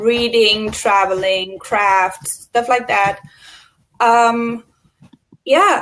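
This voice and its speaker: A woman at a very slow pace, with long, frequent pauses and fairly even intonation. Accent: German. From Germany. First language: German. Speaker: co-host, admin assistant. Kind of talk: personal introduction, testimony. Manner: hesitant, many fillers.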